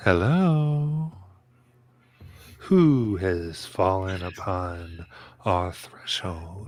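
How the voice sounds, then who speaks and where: With a put-on character voice, a man speaks very slowly in a very deep, low pitch with very wide pitch swings and long, frequent pauses. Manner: questioning, ominous.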